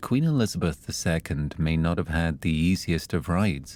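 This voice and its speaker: This man's voice sits very deep and low as he talks at a moderate pace. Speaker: storyteller. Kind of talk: sleep story.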